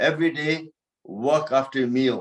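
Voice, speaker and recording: A man's plain, everyday voice at medium pitch. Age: 60s. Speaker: yoga teacher. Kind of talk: fitness class talk.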